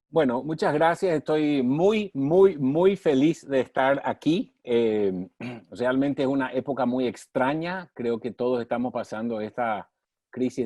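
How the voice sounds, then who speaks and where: Against a quiet background, a man talks at a fairly slow pace in an ordinary speaking voice, with a medium pitch, ordinary pitch variation and a dry, close sound with no echo. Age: 60s. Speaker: former mayor, development leader. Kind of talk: interview on online session.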